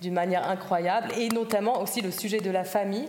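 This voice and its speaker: A woman at medium pitch speaks at a fairly quick pace with fairly even intonation, over noticeable background noise. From German-speaking Switzerland, Zurich. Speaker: writer and self-translator. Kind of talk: panel discussion. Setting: stage with audience.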